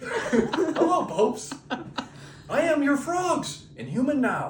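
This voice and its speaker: Using a put-on character voice, a man speaks at an extremely high pitch and a fairly slow pace. Clear background noise can be heard. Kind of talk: comic improvised storytelling. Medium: solo performance. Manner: cheerfully oblivious.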